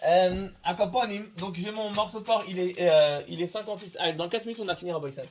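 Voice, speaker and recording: Fairly quick speech from a man with a high pitch, ordinary pitch variation and hardly any pauses. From Tunisia. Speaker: religious teacher. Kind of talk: lecture. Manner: halting, many repetitions.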